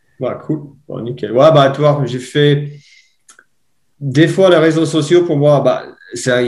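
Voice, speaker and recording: A man with an Irish accent, fairly high pitch, fairly even intonation and a moderate pace. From Ireland. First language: English (speaking French). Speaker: mountain bike coach. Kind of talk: podcast interview. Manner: halting, searching for words.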